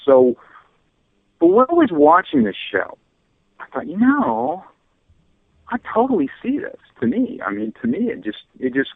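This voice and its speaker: The speaker is a man. He talks at a moderate pace. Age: 60s. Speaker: radio host. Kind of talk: casual chat.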